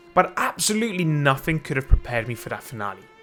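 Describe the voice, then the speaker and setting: Over noticeable background noise, a man with a fairly high voice races along at a very fast pace with lively intonation. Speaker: gaming YouTuber. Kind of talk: gameplay commentary. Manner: animated; loud.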